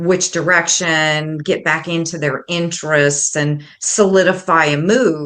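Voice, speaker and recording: A woman speaks at a fairly slow pace in a fairly low, bright and sharp voice with flat, monotone intonation over a quiet background. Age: 60s. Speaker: intuitive coach and psychic medium. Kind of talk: interview.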